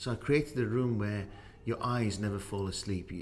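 Fairly low in pitch, a man talks in an ordinary speaking voice at a moderate pace. His intonation is fairly even. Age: 50s. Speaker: podcast host and business owner. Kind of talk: interview.

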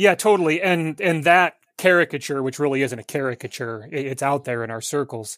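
A man's normal speaking voice, fairly high and fairly quick, with lively intonation, in a very clean recording with a silent background. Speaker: pastor. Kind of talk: casual theological discussion.

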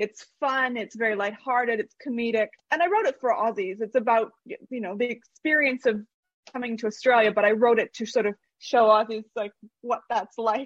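A woman's ordinary speaking voice, fairly high in pitch, with a Canadian accent, ordinary pitch variation, a moderate pace and a dry, close sound with no echo. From Canada. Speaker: author. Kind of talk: casual interview. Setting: video call.

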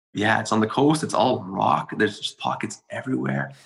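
A man at a moderate pace, fairly low in pitch, with very wide pitch swings and vocal fry. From Montreal, Quebec, Canada. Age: 30s. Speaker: bonsai practitioner. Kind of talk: casual interview conversation.

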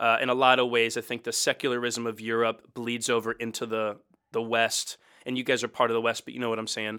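A man with a Mid-Atlantic American accent speaks very fast at medium pitch, with a bright, sharp tone and monotone, flat intonation, on a very clean recording with a silent background. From US, Baltimore. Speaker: pastor. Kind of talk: casual interview.

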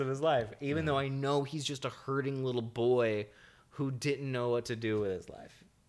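A man speaks in a normal speaking voice with an American accent and a fairly high pitch. His pitch variation is ordinary and his pace is moderate. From not from the US. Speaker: podcast host. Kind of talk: casual chat.

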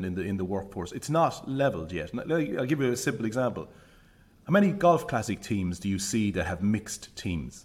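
At a fairly quick pace, a man with a Limerick accent uses lively intonation at a fairly low pitch. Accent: Irish (Limerick). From Ireland, Limerick City. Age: 40s. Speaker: business leader. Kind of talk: casual interview.

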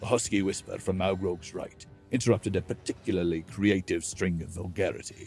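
The speaker is doing plain reading aloud, with intonation that stays fairly even.

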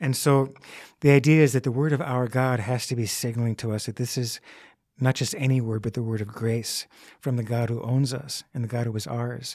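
A man's ordinary speaking voice, medium in pitch and fairly even in intonation, at a fairly quick pace, with a dry, close sound free of echo on a very clean recording against a silent background. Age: 60s. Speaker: Bible teacher, college professor. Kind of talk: interview about scripture. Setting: studio, across the table.

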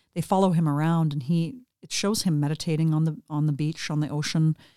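In a Western Canadian accent, a woman with a very deep, low pitch and a dark, mellow tone talks at a fairly quick pace with fairly even intonation, on a very clean recording with a silent background. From Western Canada, British Columbia. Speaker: yoga teacher. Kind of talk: casual interview. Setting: home studio.

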